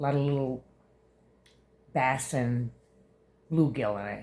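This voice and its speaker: A woman with a very deep, low voice sounds somewhat breathy and uses lively intonation. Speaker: vlogger. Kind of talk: casual vlog monologue. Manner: halting, many fillers.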